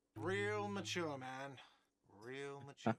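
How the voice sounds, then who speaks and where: A man puts on a whiny character voice at a medium pitch. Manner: shouting.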